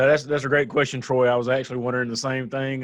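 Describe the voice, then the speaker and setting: Monotone and flat in intonation, a man speaks at a medium pitch in a Southern US accent. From US South. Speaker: drone association event host. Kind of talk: live online panel with giveaways.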